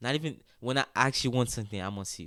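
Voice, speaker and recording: The speaker talks at a very fast pace with a Haitian accent. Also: man. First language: Haitian Creole. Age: 20s. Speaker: college soccer player. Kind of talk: casual interview. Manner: animated.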